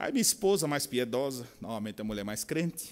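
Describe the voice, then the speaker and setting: On a very clean recording with a silent background, a man with a strong São Paulo accent speaks at a fairly quick pace with very wide pitch swings. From São Paulo, Brazil. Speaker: pastor and military chaplain. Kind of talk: conference talk.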